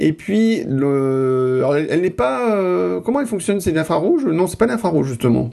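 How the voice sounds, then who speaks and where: With a dark, mellow tone and a fairly high pitch, a man speaks at a moderate pace with very wide pitch swings and hardly any pauses. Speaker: podcast host. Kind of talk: casual chat.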